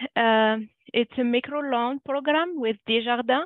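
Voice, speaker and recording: With a French accent, a woman speaks fairly slowly at a high pitch. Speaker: budget counselor. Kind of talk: webinar presentation. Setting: online webinar. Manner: halting, many fillers.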